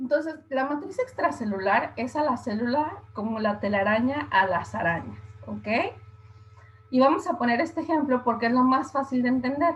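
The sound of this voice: Lively intonation over a slightly husky edge. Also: woman, high pitch for a woman, moderate pace.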